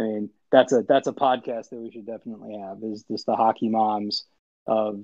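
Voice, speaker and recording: A man with an American accent and medium pitch. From Illinois. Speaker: visually impaired hockey player. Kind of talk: casual chat.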